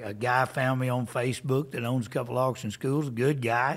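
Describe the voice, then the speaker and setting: The recording is very clean, with a silent background. A man with an ordinary speaking voice talks at a moderate pace, medium in pitch, his intonation fairly even. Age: 60s. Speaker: livestock auctioneer. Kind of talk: interview answer.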